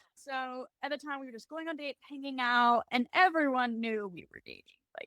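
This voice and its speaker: A woman projects a raised voice with a high pitch and a bright, sharp tone at a fairly quick pace. Her pitch varies normally, her loudness swings widely, and the sound is dry and close with no echo. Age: 18. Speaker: military spouse and gym marketing manager. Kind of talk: casual interview.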